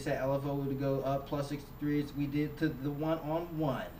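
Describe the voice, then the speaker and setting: The man's voice is fairly high and monotone, with flat intonation. Audible room echo and noticeable background noise surround him. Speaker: synth tutorial maker. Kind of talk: tutorial. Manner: fast.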